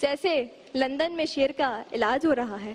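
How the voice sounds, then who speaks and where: With lively intonation and an animated, theatrical tone, a woman speaks over noticeable background noise. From Karachi, Pakistan. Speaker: speech contestant. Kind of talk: humorous speech contest declamation. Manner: animated, theatrical, comedic delivery.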